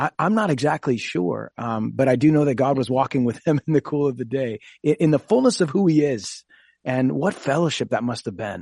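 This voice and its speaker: An unremarkable speaking voice with an American accent moves at a fairly quick pace, recorded with a dry, close sound and no echo. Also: man, medium pitch for a man, lively intonation. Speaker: pastor. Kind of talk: radio talk show discussion.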